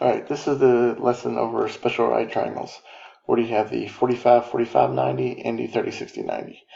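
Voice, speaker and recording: Soft-spoken, a man talks at a very fast pace. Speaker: math teacher. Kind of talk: lecture. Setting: home recording. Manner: low energy. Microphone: quiet recording.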